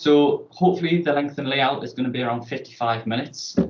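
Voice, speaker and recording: Speaking very fast, this man has a northern English accent. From northern England. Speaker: student presenting a TV pitch. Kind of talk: presentation pitch.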